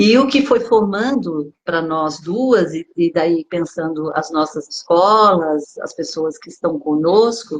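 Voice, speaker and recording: A woman's fairly low voice at a very slow pace. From Brazil, São Paulo. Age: 60s. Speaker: body therapist. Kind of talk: online dialogue / talk.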